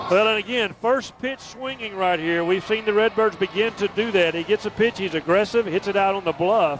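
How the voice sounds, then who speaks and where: Over noticeable background noise, a man with a high pitch talks at a fairly quick pace with hardly any pauses and ordinary pitch variation. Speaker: color commentator. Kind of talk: baseball color commentary.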